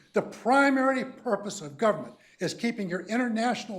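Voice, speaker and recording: With music playing behind him, a man talks at a high pitch using lively intonation. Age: 70s. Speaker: public commenter, army veteran. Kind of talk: public comment at a county meeting. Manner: animated.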